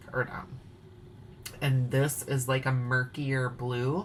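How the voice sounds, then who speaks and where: A woman speaks with a Wisconsin accent. Her very deep, low pitch comes at a very slow pace. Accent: Wisconsin, sounds pretty Canadian. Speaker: craft video host. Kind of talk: casual chat. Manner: animated.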